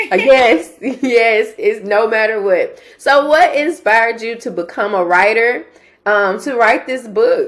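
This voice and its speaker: Speaking with a Southern US accent, a woman takes a very slow pace. Her pitch is fairly high, with ordinary variation. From Mississippi. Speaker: interviewer. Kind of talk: interview.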